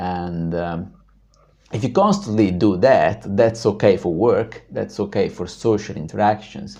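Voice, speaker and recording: With a dark, mellow tone and vocal fry, a man talks at a fairly low pitch and fairly slow pace, using ordinary pitch variation. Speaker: video blogger on personal growth. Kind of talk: personal story monologue. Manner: hesitant, many fillers.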